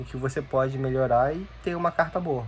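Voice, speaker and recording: A somewhat breathy voice at a fairly slow pace. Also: man. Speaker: youtuber. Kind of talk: casual talk to camera, unscripted advice. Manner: halting, with repetitions.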